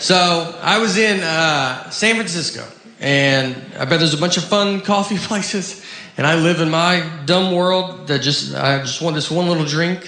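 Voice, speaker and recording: A man with an American accent speaks at a fairly slow pace in a high voice. Noticeable background noise runs under him. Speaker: stand-up comedian. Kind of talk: stand-up comedy set. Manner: deadpan, awkward.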